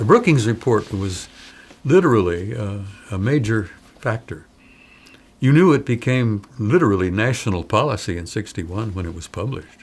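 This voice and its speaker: A fairly low-pitched, somewhat breathy man at a moderate pace, with lively intonation, big swings in loudness and long, frequent pauses. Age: 80s+. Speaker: former military intelligence analyst. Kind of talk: interview. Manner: animated.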